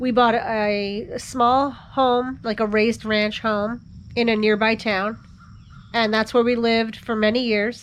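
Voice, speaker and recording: A woman's fairly high voice with an American accent and monotone, flat intonation. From US East Coast. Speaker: history teacher and lifestyle vlogger. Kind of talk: casual vlog talk to camera. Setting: outdoors on a front porch.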